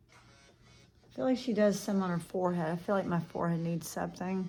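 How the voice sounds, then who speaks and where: Soft-spoken and somewhat breathy, a woman with a fairly low, dark, mellow voice speaks at a moderate pace. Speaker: makeup vlogger. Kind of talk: makeup tutorial. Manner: casual, thinking aloud.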